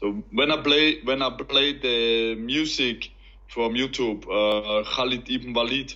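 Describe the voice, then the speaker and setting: Very slowly, a man speaks with an Austrian accent. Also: medium pitch for a man, fairly even intonation. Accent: German-speaking Austrian accent in English. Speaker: professional MMA fighter, convert. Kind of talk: interview testimony. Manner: halting, broken English.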